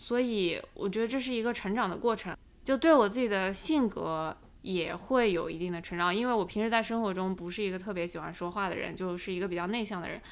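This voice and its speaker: A woman's normal speaking voice, medium in pitch, at a fairly quick pace with lively intonation. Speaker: finance YouTuber. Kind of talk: casual interview chat.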